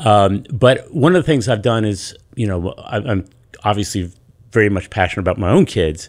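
An ordinary speaking voice at a moderate pace. The recording is very clean, with a silent background. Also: man, fairly low pitch for a man, lively intonation. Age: 60s. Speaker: youth pastor. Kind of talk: casual chat.

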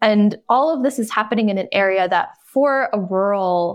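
Over a quiet background, a woman with an American accent and an unremarkable speaking voice talks at a moderate pace, her fairly high pitch carrying lively intonation. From North Carolina, US South. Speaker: documentary filmmaker and writer. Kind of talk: interview.

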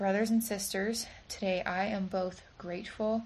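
Somewhat breathy, a woman speaks at medium pitch. Her intonation stays fairly even. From Virginia and Michigan, US. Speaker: church member giving a talk. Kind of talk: recorded church talk; casual interview.

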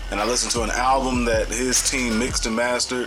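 With a St. Louis accent, a man talks very fast amid music in the background and audible room echo. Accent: St. Louis Midwestern US. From St. Louis, Missouri. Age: 30s. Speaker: music producer and education program co-founder. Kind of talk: casual interview.

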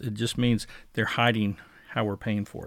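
A man speaks with an American accent in a normal speaking voice at medium pitch. His pace is moderate, and the recording is very clean with a silent background. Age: 60s. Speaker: podcast host. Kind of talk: casual commentary.

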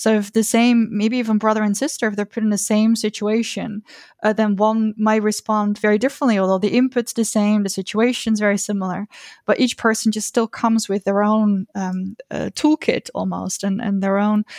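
A woman talks at a moderate pace in a flat, monotone intonation. The recording is very clean and dry, close with no echo, over a silent background. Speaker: language researcher. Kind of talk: podcast interview. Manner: halting, many fillers.

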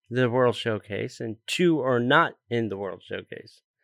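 A man speaks at a fairly slow pace, recorded with a dry, close sound and no echo. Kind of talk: heated rant, indignant retelling of a Disney dispute. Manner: indignant, animated, mimicking the quoted voices.

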